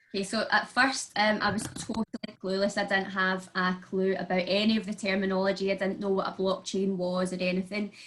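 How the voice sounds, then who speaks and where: Against noticeable background noise, a woman with a Glasgow accent speaks fairly quickly at a medium pitch, her intonation monotone and flat. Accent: broad Glaswegian. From Scotland, Glasgow. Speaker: makeup artist and crypto investor. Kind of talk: online panel interview. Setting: online video event.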